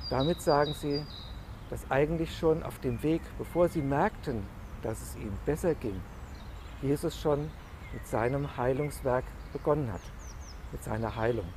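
Against light background noise in a dry sound with no echo, a man with a fairly high pitch speaks at a fairly slow pace with ordinary pitch variation and long, frequent pauses. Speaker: pastor giving a devotional. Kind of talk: church devotional / sermon. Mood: calm, reflective. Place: garden.

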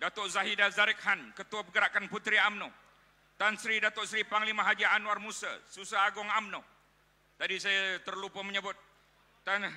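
With a raised, projected voice, a man speaks at a moderate pace in a high pitch, his tone bright and sharp, his intonation monotone and flat. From Malaysia. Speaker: rally emcee and politician; rally emcee, politician. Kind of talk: rally emceeing. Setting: stage with audience. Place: hall. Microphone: podium.

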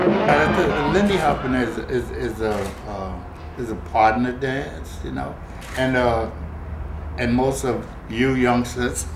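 Amid noticeable background noise, a man speaks at a very slow pace with long, frequent pauses. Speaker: swing dancer. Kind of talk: interview answer. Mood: warm, smiling, nostalgic. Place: home room.

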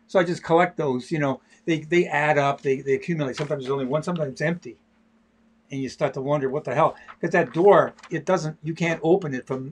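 The man's somewhat breathy voice rushes at a very fast pace, its intonation fairly even. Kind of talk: casual live stream chat. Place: studio. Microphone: webcam.

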